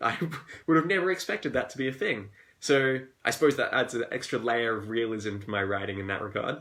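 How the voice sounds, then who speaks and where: With an Australian accent, a man speaks at a very fast pace and a medium pitch. His tone is upbeat and his intonation lively. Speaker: fantasy author. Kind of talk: live Q&A stream. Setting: live video stream at home. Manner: casual, upbeat.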